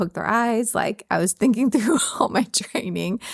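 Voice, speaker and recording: Recorded very cleanly against a silent background with a dry, close sound and no echo, a woman with an American accent speaks at a fairly quick pace in an animated tone with ordinary pitch variation. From Texas. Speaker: veterinarian and podcast host. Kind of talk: casual chat.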